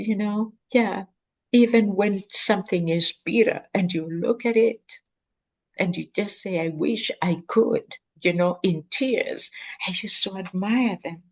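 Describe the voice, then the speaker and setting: The speaker is a woman with a Kenyan accent, talking at a fairly slow pace. Her voice is somewhat breathy, with ordinary pitch variation. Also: medium pitch for a woman. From rural Kenya. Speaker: professor, guest. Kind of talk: interview conversation.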